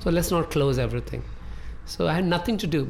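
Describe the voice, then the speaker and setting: A man's voice with music in the background. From North India (Amritsar, Punjab). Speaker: chef. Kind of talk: casual interview. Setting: studio.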